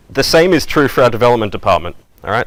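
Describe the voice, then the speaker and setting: In an Australian accent, a man speaks at a fairly quick pace with ordinary pitch variation. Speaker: software development manager, conference speaker. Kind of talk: conference talk. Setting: stage with audience. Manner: fast; casual, filler-heavy.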